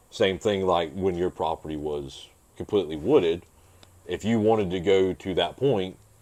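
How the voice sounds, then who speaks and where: A dark, mellow tone marks the voice. Its pitch shifts in an ordinary way. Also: man, very deep, low pitch for a man, moderate pace. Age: 30s. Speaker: motocross racer and mechanic. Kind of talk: casual chat. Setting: home podcast.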